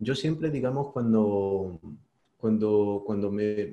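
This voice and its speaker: A man's dark, mellow, medium-pitched voice with a Spanish accent and fairly even intonation. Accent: Peninsular Spanish. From Spain. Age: 40s. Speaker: investor and YouTuber. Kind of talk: interview.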